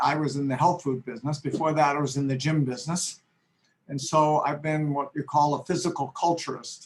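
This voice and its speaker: A man speaks with a fairly high pitch, a somewhat breathy sound and flat, monotone intonation. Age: 70s. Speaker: chiropractor. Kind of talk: testimonial.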